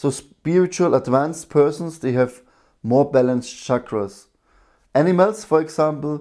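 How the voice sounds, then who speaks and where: At a moderate pace, a man talks in a dark, mellow tone with a fairly high pitch and ordinary pitch variation, in a very clean recording with a silent background. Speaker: breathwork and meditation teacher. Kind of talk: live-streamed breathwork session talk. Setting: live stream. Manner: loud.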